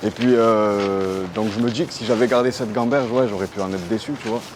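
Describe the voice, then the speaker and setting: Here a man speaks in a fairly low pitch with fairly even intonation. Noticeable background noise is present. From Aubagne, near Marseille, France. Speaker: rapper. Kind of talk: interview answer. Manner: casual, relaxed.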